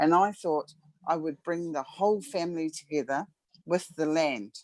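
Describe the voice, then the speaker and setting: Using an unremarkable speaking voice, a woman talks at a moderate pace and a fairly low pitch with ordinary pitch variation. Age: 50s. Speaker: participant. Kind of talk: personal story.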